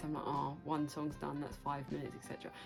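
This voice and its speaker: A woman's enthusiastic tone over music in the background. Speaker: book vlogger. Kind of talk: casual talk to camera. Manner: chatty, enthusiastic.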